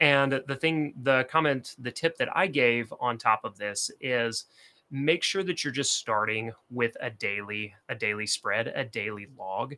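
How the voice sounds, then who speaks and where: A man with a Southern US accent, medium pitch, ordinary pitch variation, a bright, sharp tone and a fairly slow pace, on a very clean recording with a silent background. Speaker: productivity and bullet journal creator. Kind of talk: casual livestream talk to camera.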